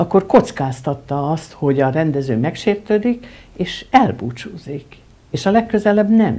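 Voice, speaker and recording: Somewhat breathy with a dark, mellow tone, the voice moves at a fairly slow pace with very wide pitch swings and big swings in loudness. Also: woman. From Hungary, Budapest; Hungary. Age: 70s. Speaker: film editor; guest. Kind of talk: interview. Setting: at the guest's home. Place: home room.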